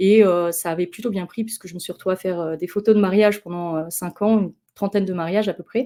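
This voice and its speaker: With a dark, mellow tone and fairly even intonation, a woman speaks very fast, her loudness swinging widely. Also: medium pitch for a woman. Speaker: marketing consultant giving a conference talk. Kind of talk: online conference talk. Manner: hesitant, many fillers.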